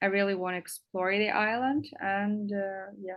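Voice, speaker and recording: Speaking in a Russian accent, a woman talks at a fairly slow pace and a medium pitch. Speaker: English teacher. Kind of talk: interview. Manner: halting, many fillers.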